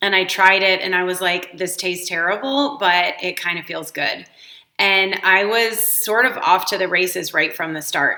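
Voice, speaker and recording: At a moderate pace, a woman of medium pitch talks with ordinary pitch variation. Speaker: life coach. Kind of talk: personal testimony. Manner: casual with many fillers.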